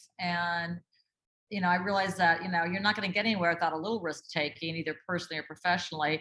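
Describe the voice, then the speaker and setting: With an Upper Midwest accent, a woman speaks in a bright, sharp tone. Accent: Upper Midwest American. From northern Minnesota, Duluth. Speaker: communications specialist and book writer. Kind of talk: interview conversation.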